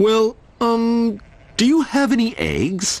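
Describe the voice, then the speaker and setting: A man puts on a character voice, pitched extremely high and delivered very slowly. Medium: read story.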